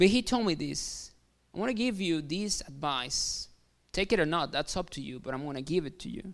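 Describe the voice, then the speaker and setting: A man with a Mexican accent speaks at a moderate pace in a high pitch, his intonation lively and his loudness swinging widely, on a very clean recording with a silent background. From Mexico. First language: Spanish. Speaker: pastor. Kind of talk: sermon. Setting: church.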